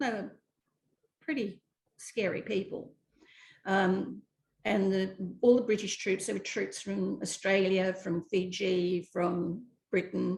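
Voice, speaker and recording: A woman's medium-pitched voice with vocal fry, fairly even intonation, a very slow pace and long, frequent pauses. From Malaysia. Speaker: actress and script writer. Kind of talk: interview.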